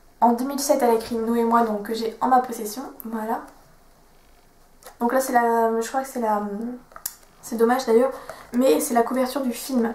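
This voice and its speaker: Amid noticeable background noise, a woman with a fairly high pitch speaks at a moderate pace, leaving long, frequent pauses. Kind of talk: casual book talk to camera.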